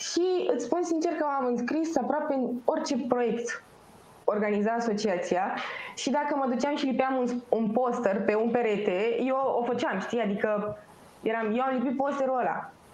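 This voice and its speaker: A woman speaks at a high pitch with ordinary pitch variation, and there is audible room echo along with noticeable background noise. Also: moderate pace. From Romania, Pitești. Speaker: student association representative. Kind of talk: interview.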